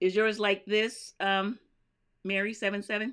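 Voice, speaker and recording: A woman speaks with an American accent. Her pace is fairly slow. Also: very clean recording, silent background. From US South, North Carolina. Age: 70s. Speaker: crafting YouTuber. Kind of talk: live stream chat reading viewer comments. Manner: casual, chatty.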